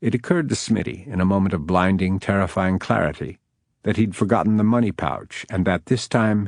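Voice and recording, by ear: Against a quiet background, a natural voice reads aloud with fairly even intonation.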